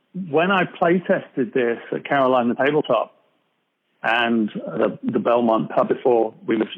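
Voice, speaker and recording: With an American accent, a man speaks at a moderate pace and medium pitch, his loudness very even while his pitch swings very widely. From England. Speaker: board game designer. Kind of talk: podcast interview.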